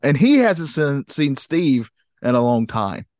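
A man with a fairly high voice and very wide pitch swings talks at a moderate pace, the sound dry and close with no echo and the background quiet. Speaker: podcast host. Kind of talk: casual chat.

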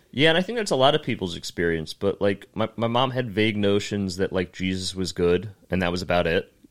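A man talks in a plain, everyday voice at a fairly low pitch with ordinary pitch variation. He hardly pauses at all. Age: 20s. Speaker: comedian. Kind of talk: casual chat.

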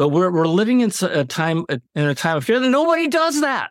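In a Californian accent, a man speaks at a moderate pace with very wide pitch swings, with a dry, close sound and no echo. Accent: General American (California). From Los Angeles, US. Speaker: author. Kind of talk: interview.

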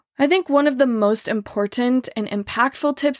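A woman with an unremarkable speaking voice talks at a moderate pace with ordinary pitch variation, recorded dry and close with no echo. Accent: American. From US Midwest, small-town Missouri. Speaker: podcast host, trauma survivor. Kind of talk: solo podcast monologue, partly scripted.

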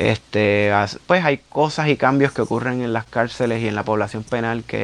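A man is speaking at a medium pitch. His pitch rises and falls in an ordinary way. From Puerto Rico, Carolina. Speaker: muralist and metal singer. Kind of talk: interview. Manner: hesitant, many fillers.

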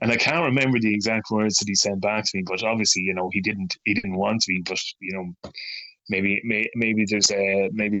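A man's fairly low-pitched voice moves along at a fairly quick pace. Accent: Irish. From Ireland. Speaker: poet. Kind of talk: interview. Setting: remote call.

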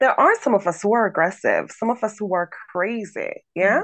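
At a moderate pace, a woman talks at medium pitch with big pitch swings.

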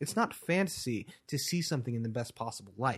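A man at medium pitch, somewhat breathy, with lively intonation and a very fast pace, on a very clean recording with a silent background. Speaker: muralist and painter. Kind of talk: interview.

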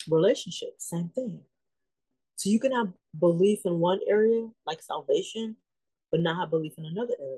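A woman with a medium pitch and a somewhat breathy voice speaks at a moderate pace. Her loudness swings widely, and she leaves long, frequent pauses. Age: 50s. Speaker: ministry leader, former crisis counselor. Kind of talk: faith-based mental health talk.

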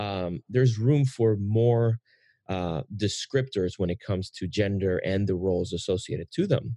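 Against a quiet background, a man with a fairly low voice and a dark, mellow tone speaks at a moderate pace with ordinary pitch variation. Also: dry, close sound with no echo. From Puerto Rico. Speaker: podcast host. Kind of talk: casual interview conversation.

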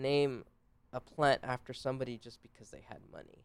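A man speaks at a medium pitch and a moderate pace. He has a plain, everyday voice. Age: 30s. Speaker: herpetologist and self-taught naturalist. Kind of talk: interview.

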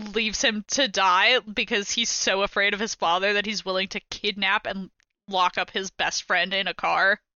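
A woman's medium-pitched voice, monotone and flat in intonation, at a moderate pace. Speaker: podcast co-host, game newcomer. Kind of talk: casual chat.

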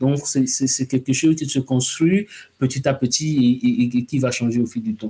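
This man has a medium-pitched voice with a dark, mellow tone, somewhat breathy, and he talks at a fairly slow pace. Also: ordinary pitch variation. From Togo. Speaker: science journalist. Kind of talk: interview.

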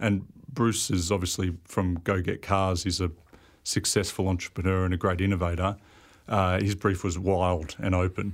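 Speaking in an Australian accent, a man with a very deep, low pitch talks at a moderate pace in a flat monotone, his loudness very even, on a very clean recording with a silent background. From Sydney, Australia. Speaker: industrial designer. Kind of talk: casual interview. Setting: studio.

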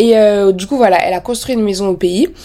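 A woman speaks at a fairly quick pace in an animated tone, with ordinary pitch variation. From France. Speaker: podcaster. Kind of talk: casual monologue.

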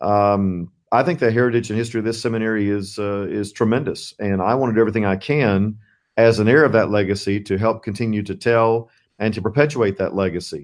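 Very fast talk in an American accent, ordinary pitch variation, against a quiet background. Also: man, fairly low pitch for a man. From US South, central Florida. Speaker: seminary president. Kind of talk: interview.

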